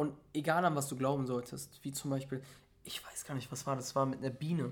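An animated, somewhat breathy man's voice at a medium pitch and a fairly quick pace. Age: 20s. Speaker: motivational speaker. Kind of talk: casual chat.

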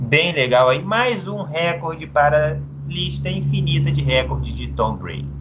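A man's voice over noticeable background noise. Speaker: sports podcast host. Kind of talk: casual sports chat.

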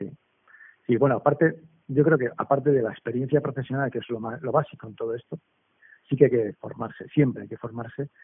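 A man at medium pitch and a fairly quick pace, his intonation fairly even but his loudness swinging widely. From Basque Country, Spain. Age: 40s. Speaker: entrepreneur. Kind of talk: interview. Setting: remote call. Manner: halting, many repetitions.

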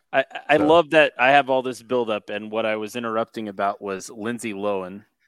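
Dry and close with no echo, a man's plain, everyday voice sits at medium pitch with ordinary pitch variation. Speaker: podcast producer. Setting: piped in remotely to the show.

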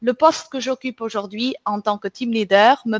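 A woman speaks at a fairly slow pace with a high voice and ordinary pitch variation. The sound is dry and close, with no echo. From Portugal and southern France. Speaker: recruitment team leader, podcast host. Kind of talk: scripted presentation.

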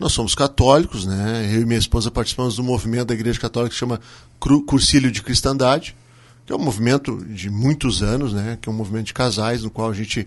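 Speaking very fast at a medium pitch, a man talks with fairly even intonation against a quiet background. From southern Brazil, Serra Gaúcha. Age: 40s. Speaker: restaurant owner. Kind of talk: radio interview.

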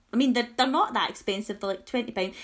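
A high-pitched woman's voice with a Scottish accent and ordinary pitch variation. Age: 30s. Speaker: podcast host. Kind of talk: casual chat.

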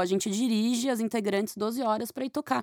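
In a plain, everyday voice, a woman talks at a fairly quick pace and a fairly high pitch, her intonation fairly even. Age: 30s. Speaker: singer and guitarist. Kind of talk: casual chat.

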